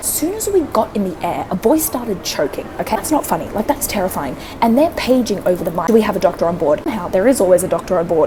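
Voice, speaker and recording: Talking very fast with hardly any pauses, a woman with an Australian accent and a medium pitch sounds animated, her pitch swinging very widely over noticeable background noise. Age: 20s. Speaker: travel vlogger. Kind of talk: casual storytelling to camera. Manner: animated, expressive.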